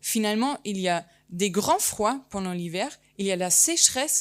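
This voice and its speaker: A slight German accent, lively intonation and a fairly slow pace, in a very clean recording with a silent background. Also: woman. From Germany, German-Turkish family. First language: German (speaking French). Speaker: landscape architect and geographer. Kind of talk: conference talk. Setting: conference hall with audience. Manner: hesitant, many fillers.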